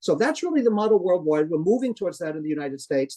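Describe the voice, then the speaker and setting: A man's dark, mellow tone comes through with a dry, close sound and no echo. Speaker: professor. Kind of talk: lecture. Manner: fast.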